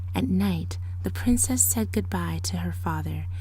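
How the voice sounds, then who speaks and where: A woman speaks at a moderate pace in a very deep, low pitch. Her dramatic tone comes through a monotone, flat intonation. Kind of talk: ASMR storybook reading, fairy tale narration. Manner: softly spoken with occasional louder dramatic passages.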